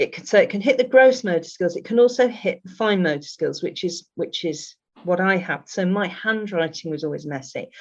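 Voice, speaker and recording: Speaking at a fairly quick pace with hardly any pauses, a woman uses a medium pitch and lively intonation. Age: 60s. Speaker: neurodivergent coach. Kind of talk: podcast interview. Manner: halting, frequent restarts.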